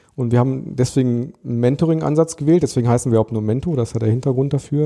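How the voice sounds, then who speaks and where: The man's voice has a medium pitch and a dark, mellow tone. His intonation is fairly even. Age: 40s. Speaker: adult education project worker. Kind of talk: interview.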